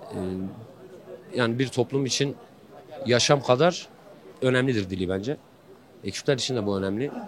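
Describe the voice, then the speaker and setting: Using a Kurdish accent, a man speaks at a moderate pace and medium pitch with ordinary pitch variation and long, frequent pauses. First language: Kurdish (speaking Turkish). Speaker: street interviewee. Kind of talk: street interview. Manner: hesitant, many fillers.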